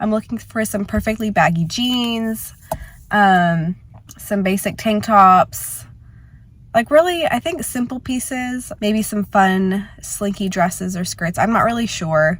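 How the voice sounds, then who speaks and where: A somewhat breathy woman's voice of medium pitch, lively intonation and a fairly slow pace. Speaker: lifestyle vlogger. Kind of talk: casual vlog.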